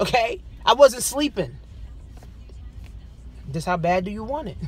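With faint music in the background, a woman talks at a moderate pace in a dry sound with no echo. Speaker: business coach. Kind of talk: motivational vlog talk. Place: car. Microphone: phone near.

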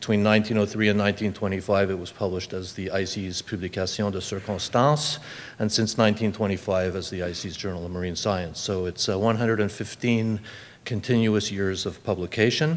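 At a moderate pace, a plain, everyday voice rises and falls widely in loudness. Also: man. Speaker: conference presenter. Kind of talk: lecture. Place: hall. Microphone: podium.

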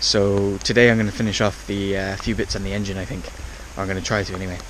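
Over noticeable background noise, a man with a fairly low pitch and ordinary pitch variation speaks at a very fast pace, the sound dry with no echo. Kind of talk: casual vlog chat. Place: waterside. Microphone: phone near.

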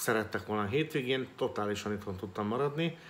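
A man with a fairly low pitch over light background noise. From Hungary. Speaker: real estate agent and business vlogger; business vlogger. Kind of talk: solo vlog monologue. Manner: halting, with many filler sounds. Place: home room. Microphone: phone near.

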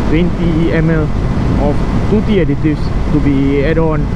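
A woman's voice, dry with no echo, against loud background noise. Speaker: motorcycle rider vlogger. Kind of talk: casual vlog chat. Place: motorbike. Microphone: helmet.

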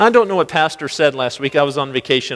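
Speaking very fast with an American accent, the man uses lively intonation. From US Midwest. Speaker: pastor. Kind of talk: sermon. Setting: church. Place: church.

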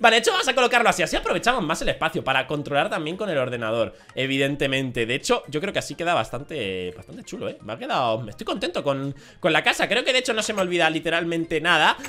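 High-pitched and bright, sharp in tone, a man races along at a very fast pace. His pitch swings very widely. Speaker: gaming YouTuber. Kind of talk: gameplay commentary. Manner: animated.

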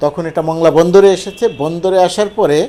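Against noticeable background noise, a man speaks at a high pitch with ordinary pitch variation. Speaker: political commentator. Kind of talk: monologue commentary on news.

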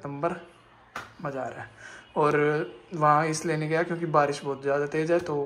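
Moderately paced speech from a man over light background noise. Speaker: vlogger. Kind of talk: casual vlog chat. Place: home room. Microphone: phone near.

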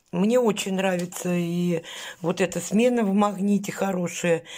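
In a quiet background, a woman talks at a medium pitch with a somewhat breathy voice. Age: 50s. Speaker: vlogger. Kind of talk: casual vlog haul. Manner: chatty, colloquial. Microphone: phone near.

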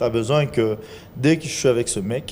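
His pitch varies in an ordinary way as the man talks. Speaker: film and TV actor. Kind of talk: TV talk show. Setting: TV studio. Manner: animated. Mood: relaxed, smiling, joking. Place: studio. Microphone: handheld.

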